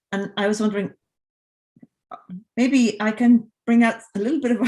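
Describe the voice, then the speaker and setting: With an Irish accent, a woman speaks in a somewhat breathy voice at a fairly high pitch. Her pace is moderate. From Ireland. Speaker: composer. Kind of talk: casual chat. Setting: video call.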